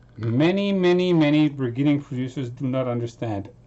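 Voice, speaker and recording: A man talks loudly at a moderate pace, his fairly high voice carrying lively intonation. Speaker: music producer streaming. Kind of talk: casual live stream chat. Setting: home studio live stream. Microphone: distorted sound, voice too loud.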